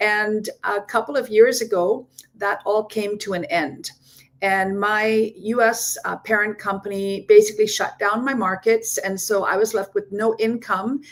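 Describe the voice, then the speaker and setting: A woman with a Canadian accent has an unremarkable speaking voice, fairly high in pitch, talking at a fairly slow pace with fairly even intonation. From Ontario, Canada. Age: 60s. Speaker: digital business owner. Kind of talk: testimony.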